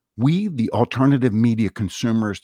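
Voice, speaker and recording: In an unremarkable speaking voice, a man with a fairly low pitch speaks at a moderate pace, the sound dry and close with no echo. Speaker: podcast host. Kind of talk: scripted commentary.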